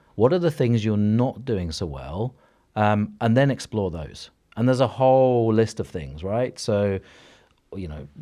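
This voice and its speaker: A man's dark, mellow voice sits at a fairly low pitch yet swings very widely in pitch. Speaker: cognitive hypnotherapist and coach. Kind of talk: podcast interview. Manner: fast; energetic.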